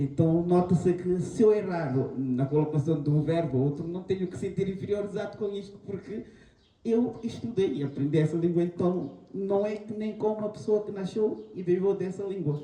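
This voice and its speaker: At a moderate pace, a man talks in a high voice with a Guinea-Bissau accent and ordinary pitch variation. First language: Manjaku (speaking Portuguese). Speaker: panel guest. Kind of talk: panel talk. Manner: halting.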